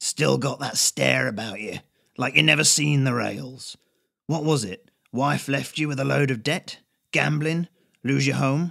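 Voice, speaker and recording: A man puts on a raspy character voice at a medium pitch, speaking at a moderate pace in a dry, close sound with no echo. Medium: read story. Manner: casual, wry, colloquial.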